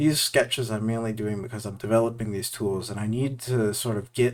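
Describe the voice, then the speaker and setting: In a monotone, flat delivery, a man speaks at a medium pitch. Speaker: VFX artist and art video creator. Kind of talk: casual commentary over art process. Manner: halting, with filler words. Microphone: new audio setup using OBS filters.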